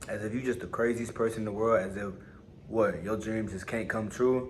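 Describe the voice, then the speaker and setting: A man speaks at a very fast pace and medium pitch. His intonation is fairly even, and the room echo is audible. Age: young. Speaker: motivational vlogger. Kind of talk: casual motivational monologue. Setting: on lunch break at work. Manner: casual, repetitive, conversational.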